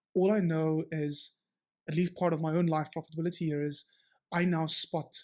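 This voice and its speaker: The recording is very clean, with a silent background. A man speaks at a high pitch with fairly even intonation. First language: Afrikaans. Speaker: entrepreneur, startup founder. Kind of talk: podcast interview. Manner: hesitant, many fillers and restarts.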